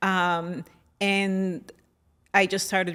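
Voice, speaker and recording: The recording is very clean with a silent background, carrying a woman's voice at medium pitch. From Colombia, San Andres island. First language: San Andres Creole English. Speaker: operations leader and fashion stylist. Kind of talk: interview.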